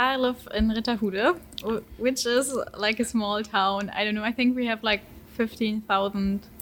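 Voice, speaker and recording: With a German accent, a woman talks at a moderate pace, her fairly high voice keeping a fairly even intonation. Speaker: exchange student. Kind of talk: casual chat interview.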